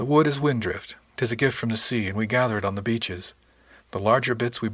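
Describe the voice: Someone does plain reading aloud. Ordinary pitch variation runs through it.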